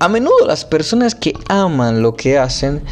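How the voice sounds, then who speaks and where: A man's fairly high pitch with very wide pitch swings, amid noticeable background noise. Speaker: podcaster reading a book aloud. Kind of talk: reading aloud; casual commentary. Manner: halting; emphatic put-on accent on key words.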